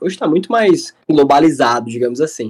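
An ordinary speaking voice delivered at a moderate pace. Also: man. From Brazil, Fortaleza, Ceará. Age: 20s. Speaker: UX/UI designer. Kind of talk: podcast interview. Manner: casual, filler-heavy.

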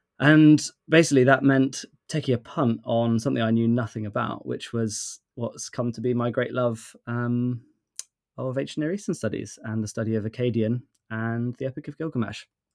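At a moderate pace, a normal speaking voice talks with ordinary pitch variation. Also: man, medium pitch for a man. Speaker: podcast co-host. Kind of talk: casual chat.

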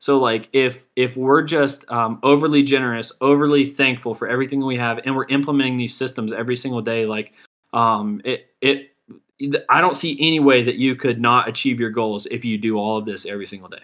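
Fairly even intonation and a fairly quick pace in a normal speaking voice. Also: man, medium pitch for a man. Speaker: podcast host. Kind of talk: pep talk; motivational podcast, casual. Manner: intense, driving, hyped-up, direct address to listeners.

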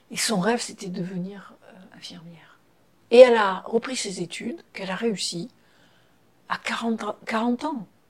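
Somewhat breathy and fairly high-pitched, a woman speaks at a fairly slow pace with long, frequent pauses, big swings in loudness and ordinary pitch variation. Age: 60s. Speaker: psychotherapist and ceremony officiant. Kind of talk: interview. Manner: halting.

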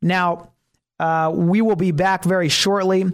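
This man's voice sits high in pitch, with fairly even intonation. The recording is very clean, with a silent background. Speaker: radio talk show host. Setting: radio studio. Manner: hesitant, full of filler words (uh, um) and restarts; sometimes rushes and catches himself.

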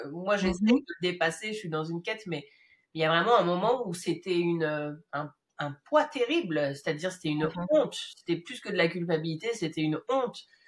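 An ordinary speaking voice from a woman, fairly low in pitch, with lively intonation at a moderate pace. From Madagascar then France. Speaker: podcast host. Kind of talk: casual interview.

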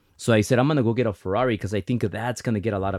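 With a Spanish accent, a man talks at a very fast pace in a fairly low pitch with ordinary pitch variation, on a very clean recording with a silent background and a dry, close sound with no echo. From Mexican-American, US. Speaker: mortgage company founder and event host. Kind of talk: casual interview chat telling business stories.

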